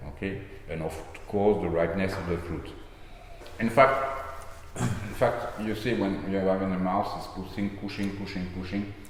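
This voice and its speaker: Speaking at a moderate pace with ordinary pitch variation, a man with a fairly low voice leaves long, frequent pauses, while audible room echo and noticeable background noise sit around him. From France, Medoc. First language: French. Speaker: wine estate owner. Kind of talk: casual interview. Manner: halting.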